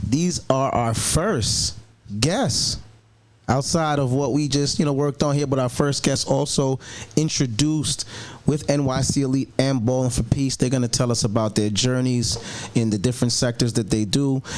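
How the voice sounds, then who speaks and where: A man speaks at a moderate pace with a medium pitch, ordinary pitch variation, very even loudness and an upbeat, energetic tone over noticeable background noise. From Long Island. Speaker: podcast host and announcer. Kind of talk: podcast interview, enthusiastic host. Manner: upbeat, energetic, repeats words for emphasis.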